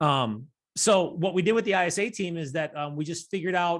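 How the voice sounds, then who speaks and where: Recorded very cleanly over a silent background, a man with an American accent speaks fairly quickly at a high pitch with ordinary pitch variation. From Rochester, New York. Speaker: real estate team owner. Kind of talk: interview.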